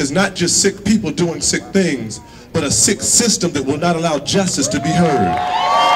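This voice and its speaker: Over noticeable background noise, a man with a high voice speaks at a moderate pace with lively intonation. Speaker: rally speaker leading a moment of silence. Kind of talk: solemn rally address with a preacherly cadence. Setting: outdoor rally with crowd. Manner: measured, grave, repetitive phrasing building emphasis. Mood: somber, earnest. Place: street.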